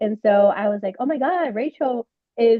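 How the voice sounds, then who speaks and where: Speaking very slowly with ordinary pitch variation, a woman talks in a Spanish accent. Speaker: webinar host. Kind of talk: casual interview, bilingual moderation.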